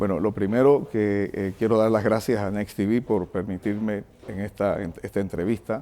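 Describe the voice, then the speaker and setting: An unremarkable speaking voice from a man, fairly low-pitched, at a moderate pace with fairly even intonation. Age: 60s. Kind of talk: TV interview.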